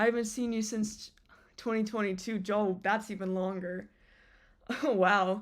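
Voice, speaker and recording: A woman's monotone, flat delivery on a very clean recording with a silent background. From United States. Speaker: streamer. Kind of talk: casual chat. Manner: halting, stuttering.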